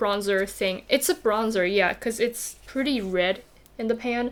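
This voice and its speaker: Fairly slow, fairly high female speech with a non-native accent and ordinary pitch variation, on a very clean recording with a silent background. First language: not English. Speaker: beauty youtuber. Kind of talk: makeup tutorial chat. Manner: casual.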